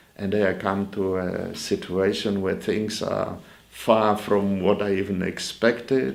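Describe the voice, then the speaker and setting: Audible room echo surrounds a man with a Polish accent who speaks very slowly at a fairly low pitch with ordinary pitch variation. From Poland. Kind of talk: interview. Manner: halting.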